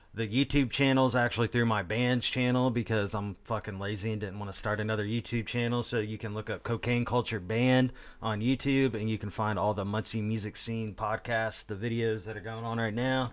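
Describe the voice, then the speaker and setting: A man with a medium pitch talks at a fairly quick pace, with hardly any pauses. His delivery is monotone and flat, on a very clean recording with a silent background. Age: 30s. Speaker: podcast host and musician. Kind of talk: casual chat.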